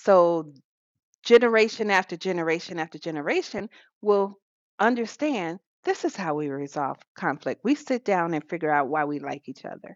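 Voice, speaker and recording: In a plain, everyday voice, a woman with an American accent talks at a moderate pace and fairly low pitch, with lively intonation and big swings in loudness. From US South. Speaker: podcast co-host. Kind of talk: casual chat.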